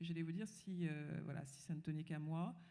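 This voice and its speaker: There is noticeable background noise as a woman talks at a fairly quick pace. Her fairly low voice has a monotone, flat intonation. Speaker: panel speaker, former school head. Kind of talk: panel discussion talk. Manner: hesitant, many fillers. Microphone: microphone problems at start.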